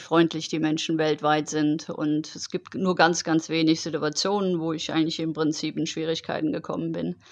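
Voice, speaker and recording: This woman has a normal speaking voice at a fairly low pitch. She talks at a moderate pace against a quiet background. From Germany, Heidelberg. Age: 40s. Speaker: long-distance cycling traveller. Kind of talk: interview.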